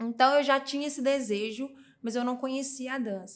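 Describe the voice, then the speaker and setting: A woman speaks in a high pitch with fairly even intonation on a very clean recording with a silent background. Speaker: dancer and dance school owner. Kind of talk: podcast interview storytelling.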